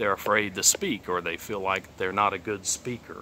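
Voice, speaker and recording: Here is a man with a Texas accent. His voice sits fairly low in pitch. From southeast Texas, Beaumont. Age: 30s. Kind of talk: testimony. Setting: outdoors. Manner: casual, hesitant with many fillers.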